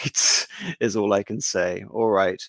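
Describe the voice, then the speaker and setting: In a fairly low voice with monotone, flat intonation, a man speaks with a dry, close sound that has no echo. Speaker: history streamer. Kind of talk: live stream discussion.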